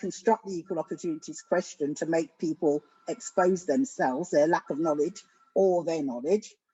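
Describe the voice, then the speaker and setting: A woman with a London accent, fairly low in pitch, at a moderate pace with lively intonation. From England, South London. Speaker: education academic. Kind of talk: panel discussion. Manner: soft-spoken.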